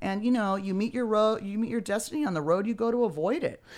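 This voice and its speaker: This is a very clean recording with a silent background. On it, a woman speaks at a very fast pace. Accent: Californian. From Beverly Hills, Los Angeles. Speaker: comedian and author. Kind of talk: casual interview. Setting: studio, streamed live.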